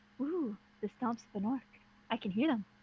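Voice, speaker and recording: A quiet, breathy whisper in a put-on character voice. It moves at a fairly quick pace. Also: woman. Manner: whispering.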